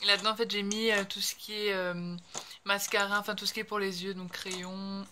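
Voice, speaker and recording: Her intonation is monotone and flat, and this woman's tone is bright and sharp. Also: medium pitch for a woman, moderate pace. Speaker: beauty vlogger. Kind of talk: casual talk to camera.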